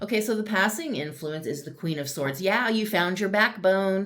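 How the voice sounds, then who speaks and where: A woman talks at a moderate pace with ordinary pitch variation, with audible room echo and noticeable background noise. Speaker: tarot reader. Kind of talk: tarot reading to camera. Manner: loud.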